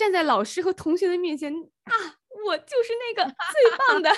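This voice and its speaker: A woman is speaking. Her pace is moderate. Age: 30s. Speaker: podcast co-host, teacher and entrepreneur. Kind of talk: casual chat.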